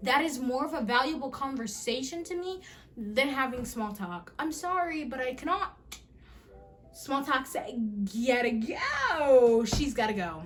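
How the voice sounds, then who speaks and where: Against music in the background and audible room echo, the speaker talks at a fairly slow pace in an animated tone with lively intonation. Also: woman, high pitch for a woman. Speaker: vlogger. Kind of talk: casual chat.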